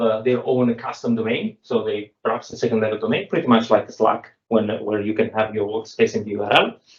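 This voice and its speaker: With an Italian accent, a man talks with ordinary pitch variation. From Italy. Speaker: software developer. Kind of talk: technical talk. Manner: halting, many fillers.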